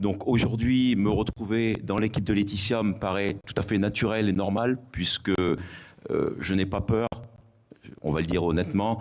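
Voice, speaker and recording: A fairly low male voice at a fairly slow pace, with fairly even intonation and long, frequent pauses. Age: 60s. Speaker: retired gendarmerie officer, election candidate. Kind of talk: self-introduction at public meeting. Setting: public meeting hall with audience.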